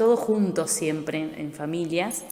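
With a fairly low pitch and ordinary pitch variation, a woman talks at a very slow pace amid audible room echo and noticeable background noise. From Argentina, rural Buenos Aires province. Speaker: townsperson. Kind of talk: testimony.

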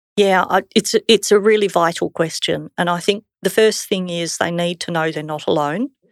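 With an Australian accent, the speaker talks at a moderate pace with ordinary pitch variation, in a dry, close sound with no echo and a very clean recording over a silent background. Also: woman, fairly low pitch for a woman. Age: 50s. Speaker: church member sharing testimony. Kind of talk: testimony.

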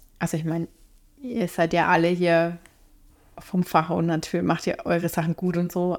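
A woman speaks at a fairly low pitch and a moderate pace. Her intonation is monotone and flat, with long, frequent pauses. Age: 30s. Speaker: IT trainee in retraining. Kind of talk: casual chat.

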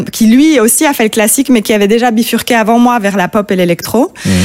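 Loudness stays very even, with ordinary pitch variation. The pace is fairly quick. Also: woman. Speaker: singer-songwriter. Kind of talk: interview. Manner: calm.

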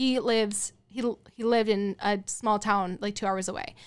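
With an American accent, a woman talks in an ordinary speaking voice at medium pitch, her intonation fairly even. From Colorado. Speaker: wedding photographer. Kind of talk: casual chat.

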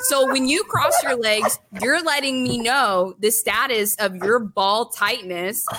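A woman speaks at a fairly slow pace with a fairly high pitch and ordinary pitch variation. Noticeable background noise runs behind her. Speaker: streamer. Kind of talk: casual chat. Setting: video call.

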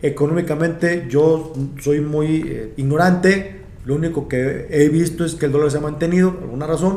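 With audible room echo, a man speaks at a fairly high pitch with fairly even intonation. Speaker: stand-up comedian. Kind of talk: casual chat. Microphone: far from the mic.

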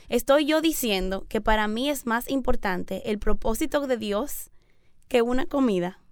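A woman's high voice has lively intonation and a fairly slow pace. The recording is very clean, with a silent background. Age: 30s. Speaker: missionary. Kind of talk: radio interview. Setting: radio studio.

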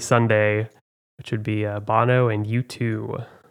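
A plain, everyday voice at a moderate pace, with fairly even intonation, against a quiet background. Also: man. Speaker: trivia podcast host. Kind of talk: casual chat.

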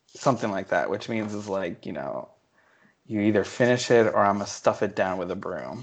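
A normal speaking voice, fairly quick in pace, with ordinary pitch variation. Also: man, fairly low pitch for a man. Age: 20s. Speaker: podcast co-host. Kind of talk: casual chat. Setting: remote call.

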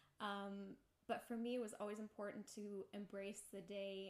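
Medium-pitched female speech amid noticeable background noise. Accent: American. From Kenya and US (New York City), German-born. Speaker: lawyer. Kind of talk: casual interview. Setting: home kitchen.

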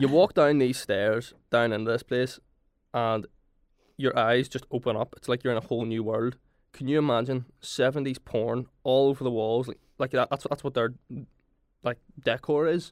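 A man speaks with fairly even intonation. The recording is very clean with a silent background, and the sound is dry and close with no echo. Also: medium pitch for a man, moderate pace. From Northern Ireland, Belfast. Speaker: university student. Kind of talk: casual chat. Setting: studio.

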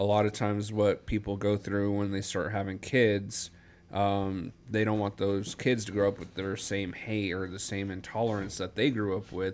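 Over a very clean recording with a silent background, a man with an American accent talks at a fairly slow pace. He has a plain, everyday voice, fairly low in pitch, with fairly even intonation. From Denver, Colorado. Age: 30s. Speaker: podcast co-host. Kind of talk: casual chat.

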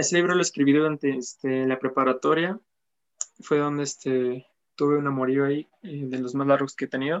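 A man's fairly high-pitched, normal speaking voice, fairly quick and fairly even in intonation, with a dry, close sound and no echo. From Apizaco, Tlaxcala, Mexico. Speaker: musician. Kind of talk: interview. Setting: live-streamed interview.

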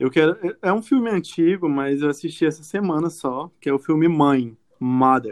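An ordinary speaking voice from a man, fairly high in pitch with ordinary pitch variation at a moderate pace. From Brazil, Acre. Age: 30s. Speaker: journalist. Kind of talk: casual chat.

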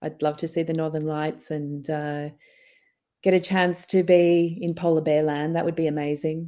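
A woman speaks with a very deep, low pitch. Her intonation is monotone and flat, and the background is quiet. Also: moderate pace. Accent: Australian. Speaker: documentary producer and director. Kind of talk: interview.

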